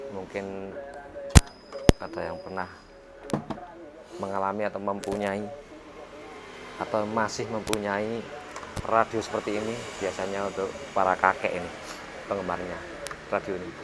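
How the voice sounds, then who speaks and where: With noticeable background noise behind him, a man talks at a moderate pace, leaving long, frequent pauses. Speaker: radio repair technician. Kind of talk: casual tutorial chat. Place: workshop. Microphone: lapel.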